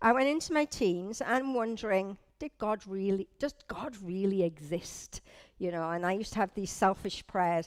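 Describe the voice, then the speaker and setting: A woman with lively intonation at a moderate pace, in a dry, close sound with no echo and a very clean recording with a silent background. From northeast England. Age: 50s. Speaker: church leader's wife giving testimony. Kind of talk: testimony. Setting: church service with audience, on a microphone. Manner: casual, conversational.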